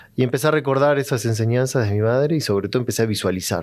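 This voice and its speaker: A man races along at a very fast pace, his pitch varying in an ordinary way, with a quiet background. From Argentina. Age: 40s. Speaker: psychologist; podcast guest. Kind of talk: interview conversation. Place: studio. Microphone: studio mic.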